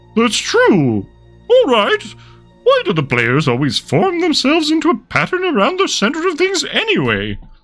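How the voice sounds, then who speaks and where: A high-pitched put-on character voice at a moderate pace, with faint music in the background. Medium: read story. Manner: dry, sardonic.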